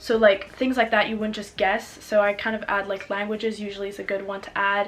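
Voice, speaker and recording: With a French accent, a woman talks at a fairly quick pace in a medium pitch and a monotone, flat intonation, with noticeable background noise behind her. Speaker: student vlogger. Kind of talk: casual advice vlog. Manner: casual, filler-heavy.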